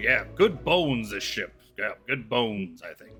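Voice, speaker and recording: Using a put-on character voice, a man sounds raspy at medium pitch and a moderate pace. Faint music plays in the background. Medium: actual play.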